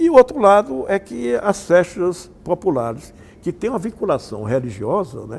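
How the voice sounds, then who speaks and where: A man uses a high pitch with very wide pitch swings and big swings in loudness. Music plays in the background. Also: moderate pace. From Patos, Paraíba, Brazil. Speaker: communication researcher, university professor. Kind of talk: interview answer.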